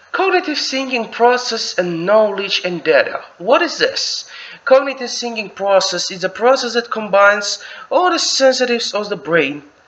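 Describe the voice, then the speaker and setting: The voice is raised and projected, with lively intonation. The pace is fairly slow. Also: man. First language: not English. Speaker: English teacher. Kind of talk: lecture. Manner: halting.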